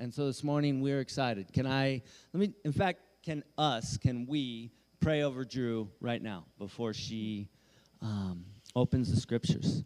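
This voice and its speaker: With an ordinary speaking voice, a man talks at a medium pitch and a fairly slow pace, using ordinary pitch variation. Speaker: church leader. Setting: church stage.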